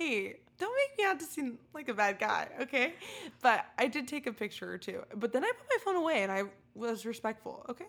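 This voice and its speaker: Big swings in loudness and very wide pitch swings over noticeable background noise. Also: woman, high pitch for a woman. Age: 20s. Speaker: podcast co-host. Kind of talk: casual chat.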